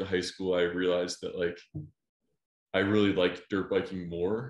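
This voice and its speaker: His pitch is fairly low. The man has an American accent. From US Midwest, Ohio (near Cleveland). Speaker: amateur enduro dirt bike racer. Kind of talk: casual interview chat.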